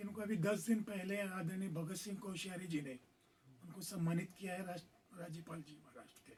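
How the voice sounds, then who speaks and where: A man is heard with noticeable background noise. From Ambedkar Nagar, Uttar प्रदेश, India. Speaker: Bhojpuri film actor. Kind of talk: interview answer.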